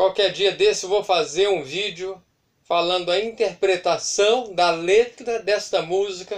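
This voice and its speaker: Fairly even intonation marks this man's high-pitched voice. He speaks at a fairly slow pace over a quiet background. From Brazil. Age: 40s. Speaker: YouTuber record collector. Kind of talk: collection show-and-tell. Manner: halting, repetitive. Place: home room. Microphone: camera far.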